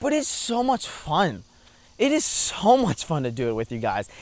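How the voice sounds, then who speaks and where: Against a silent background, a man is heard on a very clean recording. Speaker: YouTuber and streamer. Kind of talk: casual vlog monologue while walking. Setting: outdoors on a walking trail. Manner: talkative, filler-heavy (lots of 'like').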